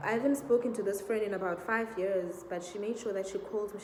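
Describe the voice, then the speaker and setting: A woman speaks at a medium pitch with ordinary pitch variation. Her tone is dark and mellow, and the room echo is audible. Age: 20s. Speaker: vlogger. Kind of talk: Q&A vlog, casual personal story.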